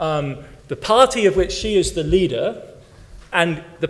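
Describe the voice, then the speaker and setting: Noticeable background noise and audible room echo fill the recording. A man speaks with an English accent at a high pitch. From West Germany (English-born). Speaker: historian, keynote speaker. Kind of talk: conference Q&A answer. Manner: animated, halting with repetitions.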